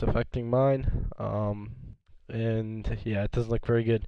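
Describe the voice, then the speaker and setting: A man talks at a medium pitch. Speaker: gaming esports youtuber. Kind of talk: casual commentary video. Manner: talking louder than usual.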